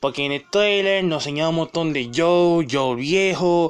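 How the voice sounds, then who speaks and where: The pitch moves in an ordinary way and the pace is fairly slow. The tone is animated. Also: man. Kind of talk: angry rant. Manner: indignant.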